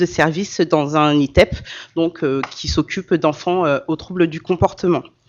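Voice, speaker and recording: A woman talks at a moderate pace in a fairly low voice with ordinary pitch variation. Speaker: association president and social care manager. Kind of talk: conference talk. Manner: loud, carrying voice; hesitant, many fillers.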